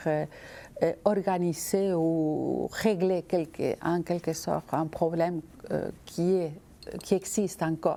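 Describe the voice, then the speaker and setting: Speaking at a very slow pace, a woman uses a monotone, flat intonation at a fairly low pitch, with a dark, mellow tone. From Argentina. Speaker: visual artist. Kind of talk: interview answer.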